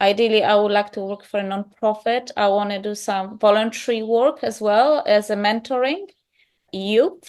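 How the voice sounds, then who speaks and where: With a Polish accent, a woman speaks at a fairly slow pace with ordinary pitch variation against a quiet background. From Poland. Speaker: yoga teacher in training. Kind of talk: interview.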